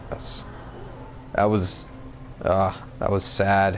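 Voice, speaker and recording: A man is mumbling. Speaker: gamer. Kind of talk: let's play game commentary.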